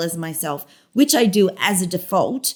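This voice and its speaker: A woman with an Australian accent and a medium pitch. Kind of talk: casual interview chat.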